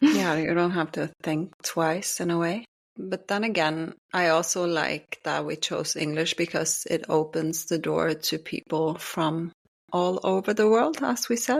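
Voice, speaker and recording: A woman with a Norwegian accent, fairly low in pitch, at a fairly slow pace. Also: ordinary pitch variation. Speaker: podcast co-host. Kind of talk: casual chat.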